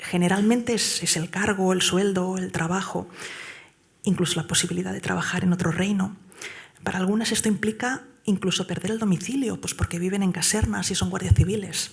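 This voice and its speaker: A soft-spoken woman at a medium pitch, fairly quick and fairly even in intonation, over noticeable background noise. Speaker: award-winning whistleblower. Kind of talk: award acceptance speech. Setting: stage with audience at gala. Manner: hesitant, many fillers.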